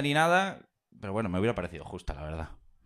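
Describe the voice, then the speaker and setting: The recording is very clean, and the background is silent. A man talks in a fairly low pitch. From Galicia (Pontevedra). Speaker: audience member. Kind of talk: storytelling. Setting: stage with audience.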